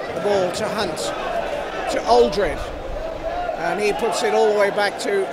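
Loud background noise behind a male speaker, with a dry sound and no echo. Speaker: football match commentator. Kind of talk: live football play-by-play commentary. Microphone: headset.

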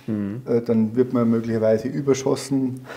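The speaker is a man with monotone, flat intonation. He talks fairly slowly. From Bavaria, Germany. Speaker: former police officer and soldier. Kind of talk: interview answer. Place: studio. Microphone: lapel.

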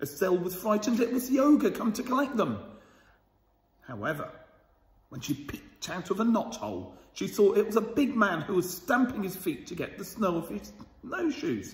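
A man speaks at a moderate pace, with room echo clearly audible. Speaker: school storyteller reading to children. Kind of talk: bedtime story reading aloud to children, with a warm, cosy storybook tone. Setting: video recorded for children, school channel. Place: hall. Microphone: phone near.

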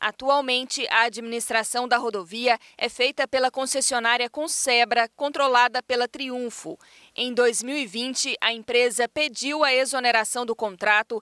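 Talking fairly slowly, the woman has a high-pitched voice. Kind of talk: news reading. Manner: formal, steady and measured, with clear, even delivery; neutral, informative tone with few emotional shifts.

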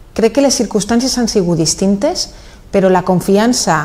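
A woman in a Valencian accent speaks with a dark, mellow tone. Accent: Valencian Catalan. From Valencia region, Spain. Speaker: mayor. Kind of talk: interview. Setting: office. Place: studio. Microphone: lapel.

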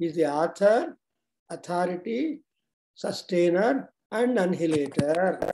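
A man's dark, mellow tone over light background noise. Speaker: religious teacher. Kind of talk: sermon. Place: home room. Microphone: video call.

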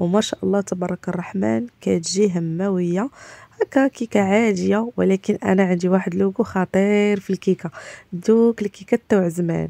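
Speaking with a Moroccan accent, a woman keeps a medium pitch with ordinary variation at a moderate pace. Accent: Moroccan Darija. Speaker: home cooking vlogger. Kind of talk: cooking tutorial. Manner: casual, frequent hesitations.

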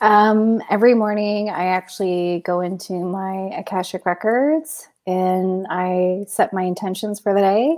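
A woman with a Canadian accent, fairly slow and fairly even in intonation, with hardly any pauses and a quiet background. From Canada, London, Ontario; East Indian family; Ontario, Canada. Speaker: spiritual consultant and DJ; DJ. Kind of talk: casual interview. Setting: video call.

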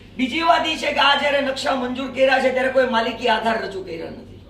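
Amid noticeable background noise and audible room echo, a man speaks at an extremely high pitch. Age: 70s. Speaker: community representative. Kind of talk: press conference statement. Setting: press conference.

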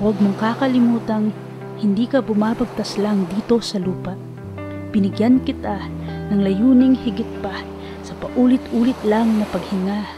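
A woman keeps a moderate tempo while music can be heard behind her. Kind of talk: spoken word poetry.

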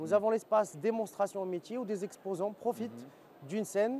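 A man with a high pitch and a dark, mellow tone speaks at a fairly quick pace over light background noise. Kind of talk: interview answer. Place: hall. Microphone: lapel.

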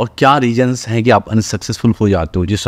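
At a fairly quick pace, a man talks in an unremarkable speaking voice with a fairly low pitch. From Bihar, India (Madhubani district); Bihar. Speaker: actor and film director; actor. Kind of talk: interview. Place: studio.

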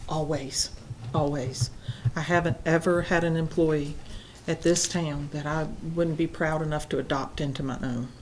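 With a Southern US accent and a very deep, low pitch, a woman talks at a moderate pace with fairly even intonation, audible room echo around her. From US South, South Carolina. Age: 60s. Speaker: town council presiding official. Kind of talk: council meeting closing remarks. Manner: hesitant fillers.

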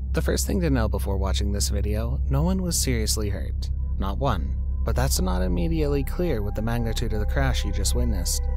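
A man talks in a very deep, low voice with monotone, flat intonation at a moderate pace. The sound is dry with no echo, and faint music plays in the background. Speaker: compilation narrator. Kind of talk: commentary.

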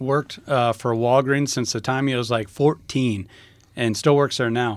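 A man speaks in a plain, everyday voice with an American accent, at medium pitch and a fairly slow pace. His pitch varies in an ordinary way, and the recording is very clean with a silent background. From rural US small town. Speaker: podcast co-host. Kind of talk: casual chat.

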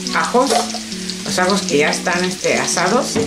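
Moderate-paced speech over loud background noise. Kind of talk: cooking tutorial. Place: kitchen.

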